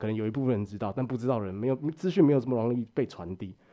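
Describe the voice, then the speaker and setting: A man with a dark, mellow tone and medium pitch speaks at a very fast pace over a quiet background. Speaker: podcast co-host. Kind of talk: casual chat.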